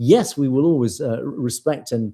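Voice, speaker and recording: A man's voice comes out dark and mellow in tone, somewhat breathy. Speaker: news show host. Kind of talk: live show reading viewer comments. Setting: live stream. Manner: fast at times.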